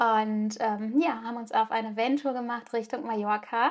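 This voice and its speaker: She talks fairly slowly. This woman's voice sits fairly high and moves in pitch in a normal way. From Germany. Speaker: podcast host. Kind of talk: personal storytelling monologue. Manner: hesitant with frequent fillers.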